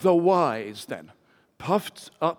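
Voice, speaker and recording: Speaking in an English accent, a man has a fairly high voice. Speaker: preacher. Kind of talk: sermon. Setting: church.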